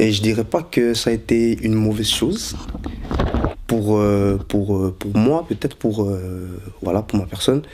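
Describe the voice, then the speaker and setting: The speaker goes at a fairly slow pace with ordinary pitch variation, over noticeable background noise. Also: man. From Belgium, Brussels. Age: 20s. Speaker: convert giving testimony. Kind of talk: testimony. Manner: halting, many fillers.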